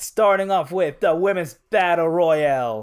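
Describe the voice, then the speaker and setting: Speaking at a fairly slow pace, this man has a high voice. His pitch variation is ordinary. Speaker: podcast host. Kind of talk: casual chat. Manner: profane, joking.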